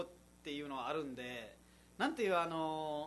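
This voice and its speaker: At a moderate pace, a man with a Nepali accent speaks with a fairly high pitch and a bright, sharp tone. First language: Nepali (speaking Japanese). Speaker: radio host and comedian. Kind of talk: casual radio chat.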